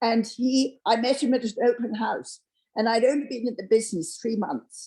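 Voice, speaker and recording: This woman's voice sits at a fairly high pitch. Her tone is dark and mellow. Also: ordinary pitch variation, moderate pace. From England. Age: 50s. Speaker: real estate agent. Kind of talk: interview. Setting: live-streamed interview with studio audience.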